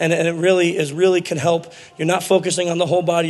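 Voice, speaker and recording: Talking at a very fast pace with an American accent, a man speaks at a high pitch over noticeable background noise. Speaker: conference speaker. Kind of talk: lecture. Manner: animated.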